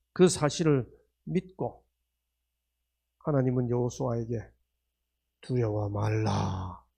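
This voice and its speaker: Speaking at a very slow pace with long, frequent pauses, a man has a somewhat breathy voice with a dark, mellow tone, a medium pitch and lively intonation. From Korea, Gangneung (Gangwon). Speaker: professor giving religious health lectures. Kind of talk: sermon-style lecture. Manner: interactive, asks audience questions.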